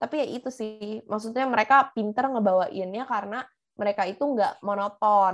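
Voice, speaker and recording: Her voice sits at a fairly high pitch, with ordinary pitch variation. This woman has a plain, everyday voice. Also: moderate pace. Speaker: podcast co-host. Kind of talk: casual chat.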